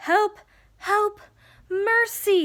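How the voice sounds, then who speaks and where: A woman's put-on character voice at an extremely high pitch. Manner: pleading, desperate.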